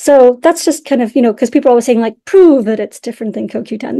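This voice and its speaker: A woman's dark, mellow tone with vocal fry and ordinary pitch variation. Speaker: scientist presenting research. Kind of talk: webinar presentation. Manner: fast; animated.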